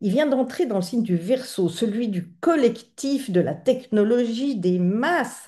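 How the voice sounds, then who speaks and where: A woman's fairly high voice with a dark, mellow tone, very wide pitch swings and a very slow pace. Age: 60s. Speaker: astrologer, channel host. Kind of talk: video monologue on astrology. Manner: hesitant, many fillers.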